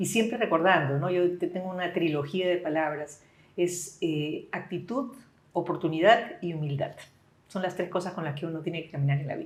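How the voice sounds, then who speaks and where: With an unremarkable speaking voice, a woman talks at a moderate pace, her fairly low pitch showing ordinary variation. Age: 60s. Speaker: business leader. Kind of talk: interview.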